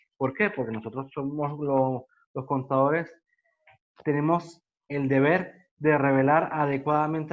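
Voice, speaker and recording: In a Venezuelan Andean accent, a man speaks with fairly even intonation. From Venezuelan Andes, Mérida. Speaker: accountant and workshop presenter. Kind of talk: online workshop lecture. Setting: video call.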